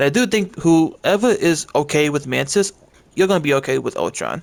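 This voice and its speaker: In a very clean recording with a silent background, a man speaks at a fairly high pitch with vocal fry. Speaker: gaming content creator. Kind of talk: casual commentary.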